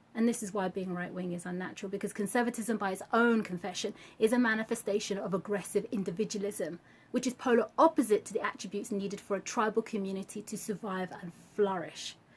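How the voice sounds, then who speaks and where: A woman talks at a very fast pace in a somewhat breathy voice of medium pitch, her intonation fairly even and her loudness swinging widely. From British. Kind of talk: political commentary to camera.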